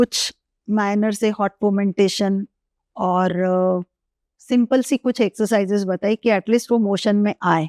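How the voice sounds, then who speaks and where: Woman at a medium pitch, fairly even in intonation, with long, frequent pauses. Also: dry, close sound with no echo. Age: 60s. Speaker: gynecologist. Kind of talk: interview answer.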